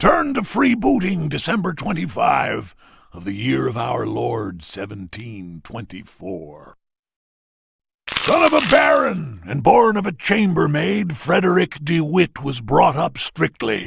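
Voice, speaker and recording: Using a put-on character voice, a man speaks at a fairly high pitch and a fairly slow pace. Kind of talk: ceremonial roll-call narration. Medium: video game. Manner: dramatic, relishing.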